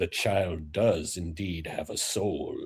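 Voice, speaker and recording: A man's put-on character voice, very deep and low, fairly slow, with fairly even intonation. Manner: solemn, intoning.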